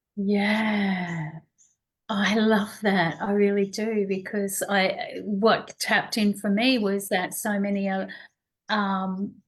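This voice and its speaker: The speech goes at a very slow pace, somewhat breathy and in monotone, flat intonation. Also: woman, medium pitch for a woman. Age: 60s. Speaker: wellness show host. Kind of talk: interview conversation.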